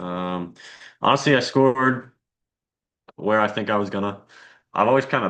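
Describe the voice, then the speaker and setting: Over a quiet background, a man speaks at a fairly quick pace with a fairly low pitch. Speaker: college student in class discussion. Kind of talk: casual class discussion. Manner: monotone.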